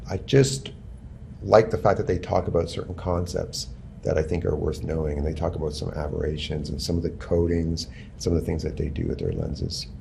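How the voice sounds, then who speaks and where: A man with a very deep, low, dark and mellow voice and vocal fry talks at a fairly quick pace, with audible room echo. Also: ordinary pitch variation. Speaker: photography instructor. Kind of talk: lecture.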